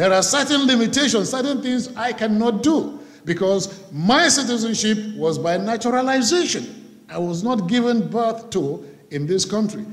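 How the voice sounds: With lively intonation and few pauses, a man talks at a moderate pace in a high pitch.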